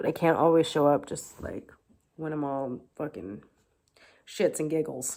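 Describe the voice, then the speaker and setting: A dark, mellow voice with vocal fry moves at a fairly slow pace with long, frequent pauses and ordinary pitch variation, on a very clean recording with a silent background. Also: woman, very deep, low pitch for a woman. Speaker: tarot reader. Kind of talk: tarot reading with prayer. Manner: casual, chatty.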